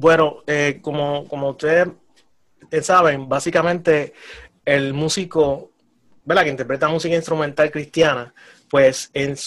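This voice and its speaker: In a plain, everyday voice, a man at fairly high pitch speaks at a moderate pace with fairly even intonation. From Puerto Rico, Humacao. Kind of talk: preaching exhortation.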